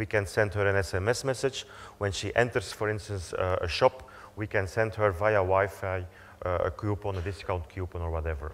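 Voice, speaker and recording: In a very clean recording with a silent background, a man's fairly low, somewhat breathy voice shows ordinary pitch variation. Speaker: company executive. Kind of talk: conference presentation. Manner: fast.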